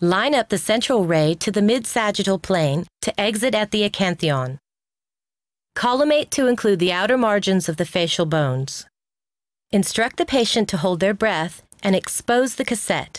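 An ordinary speaking voice with lively intonation and very even loudness moves at a moderate pace, sounding dry and close with no echo against a quiet background. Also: woman, medium pitch for a woman. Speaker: instructional video narrator. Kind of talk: scripted narration. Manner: formal.

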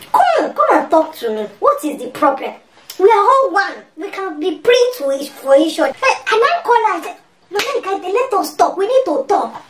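A woman uses a put-on character voice at an extremely high pitch. She keeps a moderate pace, with very wide pitch swings and big swings in loudness. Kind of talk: comic overacting. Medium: comedy sketch. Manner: expressive, emphatic.

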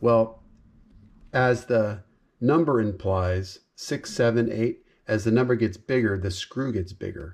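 Against a quiet background, a man talks at a fairly slow pace in a fairly low pitch, with ordinary pitch variation. His is an unremarkable speaking voice. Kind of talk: tutorial. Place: workshop. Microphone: phone near.

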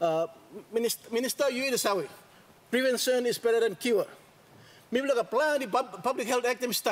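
A man speaks at a moderate pace with an extremely high pitch, ordinary pitch variation, very even loudness and long, frequent pauses. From Papua New Guinea. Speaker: member of parliament. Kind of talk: parliamentary speech. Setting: parliament chamber. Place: hall. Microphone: podium.

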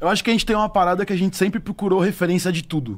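Very fast delivery with ordinary pitch variation, on a very clean recording against a silent background. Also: man. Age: 30s. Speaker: DJ and beatmaker. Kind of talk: casual chat.

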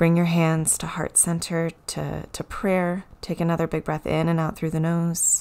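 Delivered at a fairly slow pace, the speech has monotone, flat intonation. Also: woman, fairly low pitch for a woman. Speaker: yoga and meditation teacher. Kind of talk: guided meditation. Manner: gentle, instructional. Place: home room.

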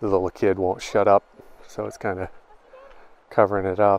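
A man speaks very fast in a flat monotone, his pitch fairly low. The sound is dry, with no echo. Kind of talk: casual vlog chat. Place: forest. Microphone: phone near.

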